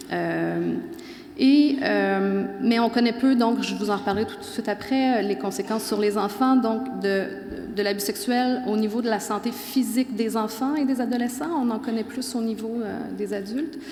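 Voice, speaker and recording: Spoken in a Quebec accent, the clip has audible room echo and noticeable background noise. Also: woman, fairly high pitch for a woman, ordinary pitch variation. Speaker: professor. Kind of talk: conference talk. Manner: fast.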